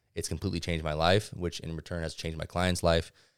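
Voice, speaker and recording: A man with an American accent talks at a very fast pace in a very deep, low pitch. His intonation is monotone and flat, and the recording is very clean with a silent background. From Southern California (Ventura County). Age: 20s. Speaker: personal trainer. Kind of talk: casual interview.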